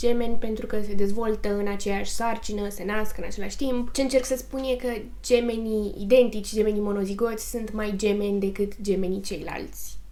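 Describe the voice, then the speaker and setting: A woman's fairly high voice at a moderate pace, fairly even in intonation, with noticeable background noise and audible room echo. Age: 20s. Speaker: true crime YouTuber. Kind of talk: documentary storytelling.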